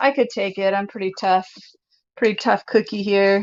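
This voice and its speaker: A woman talks loudly in a bubbly tone. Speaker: DIY crafts YouTuber. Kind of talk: live stream chat and tutorial. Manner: naturally loud and bubbly.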